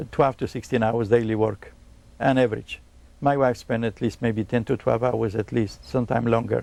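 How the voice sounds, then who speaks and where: Speaking in a Polish accent, a man with vocal fry and medium pitch keeps a moderate pace and a fairly even intonation. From Poland. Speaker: electronics repairman. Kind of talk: interview.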